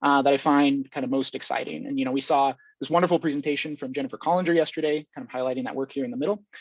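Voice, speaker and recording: Over a quiet background, a man talks at a very fast pace in a fairly high pitch with fairly even intonation and a dry, close sound with no echo. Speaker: academic researcher in control theory. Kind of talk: conference talk.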